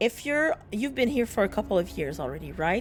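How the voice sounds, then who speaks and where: A woman speaks with a French Canadian accent. The recording is very clean, with a silent background. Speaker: video game streamer. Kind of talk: casual chat. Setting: livestream.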